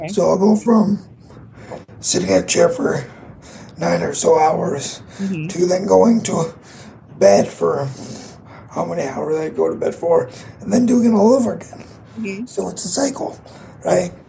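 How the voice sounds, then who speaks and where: A man with an American accent talks at a moderate pace, leaving long, frequent pauses. There is noticeable background noise. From US Midwest, Grand Rapids Michigan. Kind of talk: casual interview chat.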